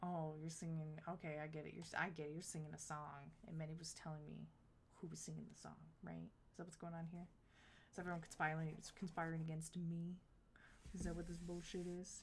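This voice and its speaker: Fairly quick, somewhat breathy delivery with monotone, flat intonation and audible room echo. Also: woman, very deep, low pitch for a woman. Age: 30s. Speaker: video game streamer. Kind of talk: live stream chat. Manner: halting.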